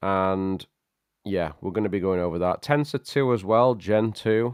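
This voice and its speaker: Speaking in a British accent, a man with a fairly low pitch uses ordinary pitch variation, recorded with a dry, close sound with no echo against a quiet background. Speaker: tech livestream host. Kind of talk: casual livestream chat. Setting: live stream. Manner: animated.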